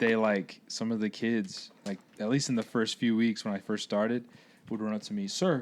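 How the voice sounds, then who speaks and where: A man at a medium pitch and moderate pace, in an ordinary speaking voice. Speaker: high school track coach. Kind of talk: casual chat.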